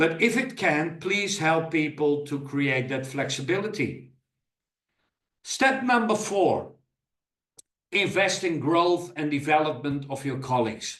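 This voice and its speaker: Fairly slow delivery with lively intonation and long, frequent pauses. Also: man, fairly high pitch for a man. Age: 60s. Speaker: business coach. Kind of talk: presentation. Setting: recorded video presentation.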